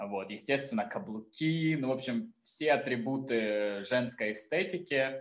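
With lively intonation, a man speaks in a normal speaking voice at a medium pitch, keeping a fairly slow pace with hardly any pauses. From southern Russia. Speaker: photographer and drag artist. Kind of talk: casual interview chat.

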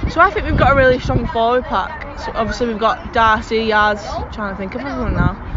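Over music in the background and audible room echo, a woman talks very fast with hardly any pauses, her fairly high voice showing ordinary pitch variation. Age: 20s. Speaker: rugby league player. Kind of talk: interview.

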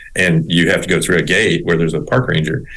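In a Southern US accent, a man speaks at a very fast pace with a very deep, low pitch. Noticeable background noise runs under his voice. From US South (Little Rock, Arkansas and South Texas). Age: 50s. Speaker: rehabilitation counselor. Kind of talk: casual interview. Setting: remote call.

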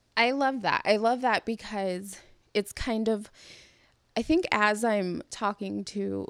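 In a very clean recording with a silent background and a dry, close sound free of echo, a woman with an American accent uses an unremarkable speaking voice, medium pitch and ordinary pitch variation. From California. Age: 30s. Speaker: podcast host. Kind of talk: casual chat.

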